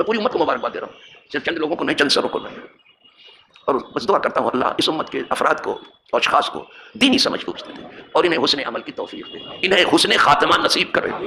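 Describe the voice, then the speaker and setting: A man's fairly quick speech with big swings in loudness, over noticeable background noise. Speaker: imam. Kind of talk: religious lecture.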